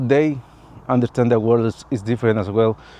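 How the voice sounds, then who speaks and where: A man with a Latin American accent speaks at a medium pitch with fairly even intonation. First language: Spanish. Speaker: vlogger. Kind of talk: personal vlog monologue. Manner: halting, non-fluent English.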